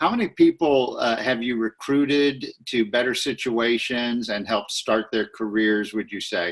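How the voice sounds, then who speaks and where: A man with an American accent has a normal speaking voice at a medium pitch, talking at a moderate pace with fairly even intonation and hardly any pauses. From Texas. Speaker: interviewer and business coach. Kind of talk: interview.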